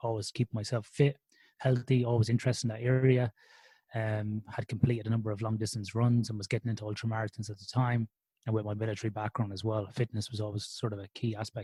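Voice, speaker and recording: A man with an Irish accent talks at a very fast pace, medium in pitch, with monotone, flat intonation and big swings in loudness. His tone is dark, mellow and somewhat breathy, and the very clean recording is dry and close, with no echo and a silent background. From Ireland, Athlone in the Irish midlands. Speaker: sleep researcher. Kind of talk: podcast interview. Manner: conversational with frequent fillers.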